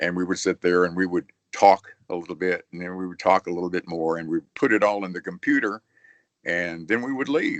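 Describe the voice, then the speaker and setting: A man with an American accent speaks at a fairly quick pace, his pitch very deep and low. His loudness swings widely against a quiet background. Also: ordinary pitch variation, dry, close sound with no echo. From Arkansas, USA. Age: 70s. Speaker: retired radio and TV broadcaster, author. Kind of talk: casual interview answer.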